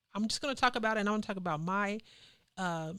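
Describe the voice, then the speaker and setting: A woman's medium-pitched voice with fairly even intonation, on a very clean recording with a silent background. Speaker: community activist. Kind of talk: casual chat. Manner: loud.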